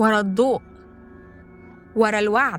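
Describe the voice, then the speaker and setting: At a very slow pace, a woman speaks with an Egyptian accent and a fairly high pitch. Music plays in the background. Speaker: voice-over narrator. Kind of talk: folk horror story narration.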